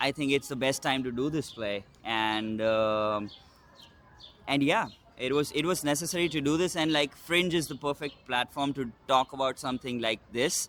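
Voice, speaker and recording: A man's fairly high voice shows ordinary pitch variation and holds a moderate pace. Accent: Indian. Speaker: solo stage actor and producer. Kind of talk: interview. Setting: in-person interview. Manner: hesitant, many fillers.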